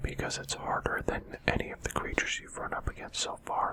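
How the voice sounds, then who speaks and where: Over noticeable background noise, a man keeps a moderate pace as he whispers. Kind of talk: whispered gaming commentary. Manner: whispered, soft-spoken.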